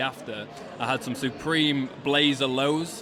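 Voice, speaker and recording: Over noticeable background noise, a man with a Yorkshire accent speaks at a fairly high pitch. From Yorkshire, near Leeds. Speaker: sneaker podcast host. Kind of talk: casual event interview. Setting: live sneaker event.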